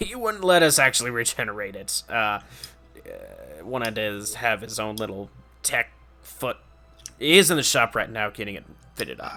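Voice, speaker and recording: Faint music plays behind a man doing a put-on character voice at a medium pitch, with long, frequent pauses. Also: moderate pace. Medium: actual play. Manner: sincere, slightly rambling.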